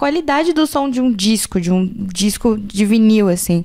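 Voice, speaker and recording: A woman talks at a fairly slow pace with very wide pitch swings. Background noise is noticeable. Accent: São Paulo. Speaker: podcast host. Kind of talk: casual chat.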